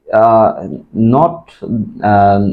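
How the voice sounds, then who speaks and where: This is a man speaking. He talks in a Bengali accent. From Bangladesh, Dhaka. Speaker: IELTS test taker. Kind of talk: mock speaking exam. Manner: halting, many fillers.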